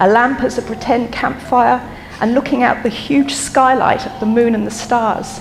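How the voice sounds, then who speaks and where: A woman with a high pitch, ordinary pitch variation and a moderate pace, plus noticeable background noise. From London and Dublin. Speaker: eulogist, daughter of the deceased. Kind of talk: memorial speech. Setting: memorial service with audience. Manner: hesitant, with frequent ums.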